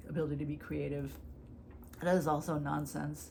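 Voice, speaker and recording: Audible room echo surrounds a woman's speech. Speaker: YouTuber discussing personal disorder. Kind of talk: personal vlog monologue. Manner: fast; casual, filler-heavy.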